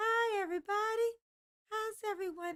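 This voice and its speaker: This is a squeaky, put-on character voice. It moves at a moderate pace. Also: female-sounding voice. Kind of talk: casual greeting.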